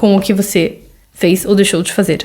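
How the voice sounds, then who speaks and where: A woman is speaking. Her pace is fairly quick. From Brazil. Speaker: podcast host, mother. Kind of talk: solo podcast monologue. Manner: conversational, with frequent fillers.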